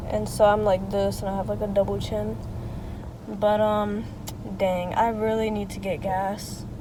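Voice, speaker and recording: There is audible room echo. A woman talks at a fairly slow pace. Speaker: lifestyle vlogger. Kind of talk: casual vlog chat. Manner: casual, filler-heavy; soft-spoken, quiet.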